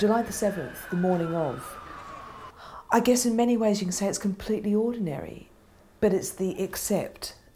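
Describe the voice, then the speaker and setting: A woman talks at a fairly quick pace with a medium pitch and ordinary pitch variation. Her speech has long, frequent pauses, and noticeable background noise runs underneath. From Australia. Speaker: bombing survivor. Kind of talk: documentary interview answer.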